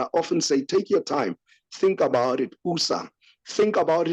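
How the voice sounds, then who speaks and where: A man in a Lesotho accent at a moderate pace with very wide pitch swings, dry, close sound with no echo, and a quiet background. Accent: Sotho accent in English and Zulu. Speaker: podcast host. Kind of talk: casual commentary discussion. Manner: hesitant, many fillers.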